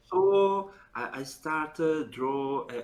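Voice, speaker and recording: The speaker is a man with an Italian accent. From Italy. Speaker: professional card game player. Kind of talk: interview. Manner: halting.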